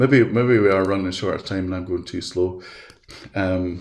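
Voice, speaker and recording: The man's pitch is very deep and low. His voice comes across somewhat breathy. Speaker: educational software presenter. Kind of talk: webinar tutorial. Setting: video call.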